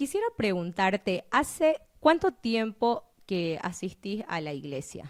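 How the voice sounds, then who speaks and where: Speaking at a very slow pace, a woman's voice makes very wide pitch swings and big swings in loudness, with a dry, close sound and no echo. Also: medium pitch for a woman. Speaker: podcast host. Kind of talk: interview.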